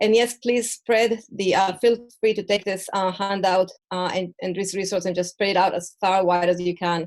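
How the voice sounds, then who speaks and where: Hardly pausing, a woman with a non-native accent speaks in a monotone, flat intonation. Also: medium pitch for a woman, moderate pace. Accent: foreign. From Mexico and Israel. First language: Spanish and Hebrew. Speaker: perinatal mental health educator. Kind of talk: online presentation. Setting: video call from home. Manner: halting.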